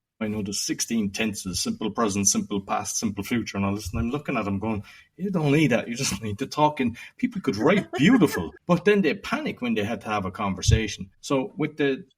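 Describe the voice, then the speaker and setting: In a Cork accent, a man speaks fairly quickly at medium pitch, somewhat breathy and with lively intonation. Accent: Cork Irish. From Ireland, Cork. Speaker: podcaster and entrepreneur. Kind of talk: interview conversation. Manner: casual, many fillers.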